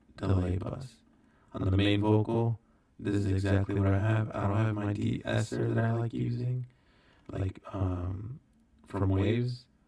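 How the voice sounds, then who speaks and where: Soft-spoken and fairly low in pitch, a man talks at a fairly slow pace with long, frequent pauses. Noticeable background noise runs underneath. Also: ordinary pitch variation. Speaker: recording artist. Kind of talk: tutorial. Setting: hotel room. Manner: casual.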